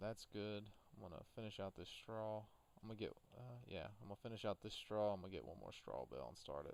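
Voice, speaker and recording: The speaker has an Appalachian accent and talks at a very fast pace. Pitch variation is ordinary. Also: man, fairly low pitch for a man. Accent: southern Appalachian Virginia. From US South, Appalachian southwest Virginia. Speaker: gaming streamer. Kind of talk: casual chat while livestreaming a farming game.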